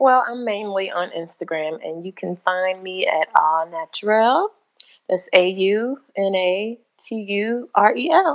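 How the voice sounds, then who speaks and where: At a fairly slow pace, a woman with an unremarkable speaking voice talks in a medium pitch, with lively intonation and big swings in loudness. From Chicago area, Illinois. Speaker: blogger and editor. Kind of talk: casual chat.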